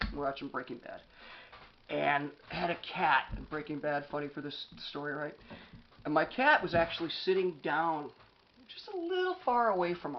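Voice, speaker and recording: Using an American accent, a man with a fairly high pitch speaks in an animated tone at a moderate pace, with ordinary pitch variation, big swings in loudness, and long, frequent pauses. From US East Coast. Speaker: author and anger management speaker. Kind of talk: motivational talk.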